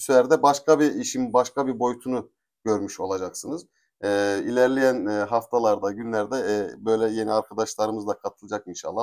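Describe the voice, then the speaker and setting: With ordinary pitch variation and a fairly quick delivery, an unremarkable speaking voice comes through on a very clean recording where the background is silent. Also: man. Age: 40s. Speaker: interviewer, channel host. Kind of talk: interview.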